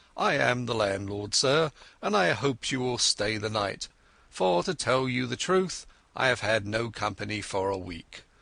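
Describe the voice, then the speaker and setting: Putting on a character voice, a man speaks raspily at a medium pitch and moderate pace with lively intonation against a quiet background. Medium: read story. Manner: eager, earnest.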